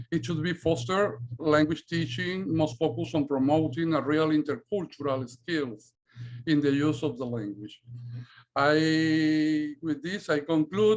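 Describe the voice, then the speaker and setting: This man has a strong Spanish accent and a fairly high voice. He speaks at a fairly slow pace with ordinary pitch variation. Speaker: Spanish teacher and researcher. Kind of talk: academic presentation. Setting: video call. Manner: halting.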